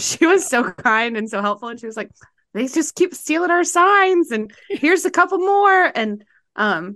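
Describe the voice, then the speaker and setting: A woman's bright, sharp tone with very wide pitch swings, a moderate pace and a quiet background. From US South. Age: 30s. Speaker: podcast host. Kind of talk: casual chat. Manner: animated.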